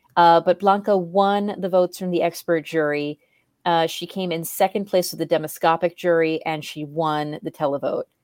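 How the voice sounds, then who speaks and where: A normal speaking voice from a woman at a fairly low pitch, fairly even in intonation and moderate in pace, in dry, close sound with no echo. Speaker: podcast co-host. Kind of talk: casual chat.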